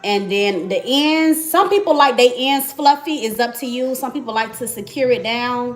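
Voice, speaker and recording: A woman with a high pitch and lively intonation talks at a moderate pace. Noticeable background noise can be heard. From Miami, Florida. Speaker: beauty vlogger. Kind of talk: live tutorial. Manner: casual, chatty.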